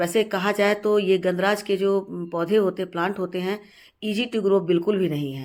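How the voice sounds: This woman speaks at a moderate pace with a slightly mellow tone. Her pitch is medium, with ordinary variation.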